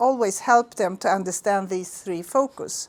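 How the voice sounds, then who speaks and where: A woman with a Swedish accent speaks in lively intonation. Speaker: school principal. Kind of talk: presentation to visitors. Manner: halting.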